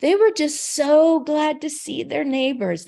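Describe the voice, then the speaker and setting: A woman speaks at a fairly slow pace with very wide pitch swings on a very clean recording with a silent background. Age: 60s. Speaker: caregiver and network founder. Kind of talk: interview. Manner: conversational, with fillers.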